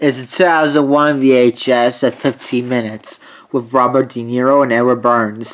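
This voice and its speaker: A fairly slow pace over a quiet background. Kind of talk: casual collection show-and-tell. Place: home room.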